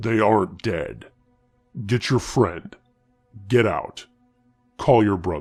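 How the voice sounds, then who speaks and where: A man's put-on character voice, fairly low and fairly slow, with long, frequent pauses and faint music in the background. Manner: commanding.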